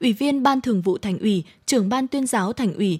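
A woman speaks at a moderate pace with lively intonation and a fairly high, somewhat breathy voice. The recording is very clean and dry, close with no echo, against a silent background. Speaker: radio host. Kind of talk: news reading. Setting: studio.

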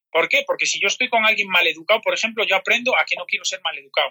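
With a dry, close sound and no echo, a man talks at a very fast pace. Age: 40s. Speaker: personal trainer. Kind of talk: interview.

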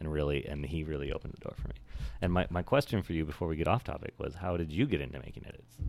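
At a very fast pace, a man with an American accent speaks at a very deep, low pitch with vocal fry and ordinary pitch variation. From Oregon, US. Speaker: DJ. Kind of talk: casual chat.

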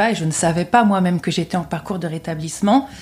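Somewhat breathy, a woman at medium pitch speaks at a fairly quick pace with fairly even intonation. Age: 30s. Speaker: public-sector finance consultant and mental health festival founder. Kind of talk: interview.

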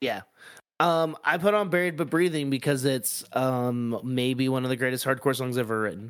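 A man speaks in a normal speaking voice at medium pitch, with ordinary pitch variation and a moderate pace. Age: 30s. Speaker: music podcast co-host. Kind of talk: casual chat.

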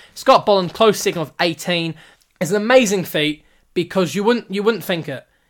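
A man with a New Zealand accent at a moderate pace, ordinary pitch variation, in a very clean recording with a silent background. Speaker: podcast host and amateur cricketer. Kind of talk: casual solo sports commentary. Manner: casual, hesitant with many fillers.

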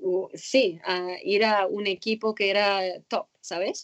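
A woman speaks with an Arabic accent. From Egypt, Cairo. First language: Arabic (speaking Spanish). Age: 20s. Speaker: former synchronized swimmer. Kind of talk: interview. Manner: halting.

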